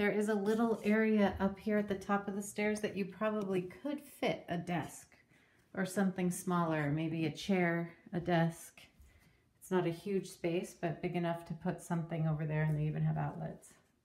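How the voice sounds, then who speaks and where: A woman talks at a moderate pace in a plain, everyday voice. Her pitch is fairly low and her intonation fairly even. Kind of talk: casual house tour narration. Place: home room. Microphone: phone near.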